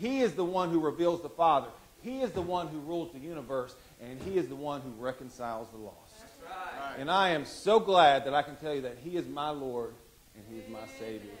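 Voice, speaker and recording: Light background noise sits behind the voice. A man speaks at a fairly quick pace. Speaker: preacher. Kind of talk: sermon. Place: church. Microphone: handheld.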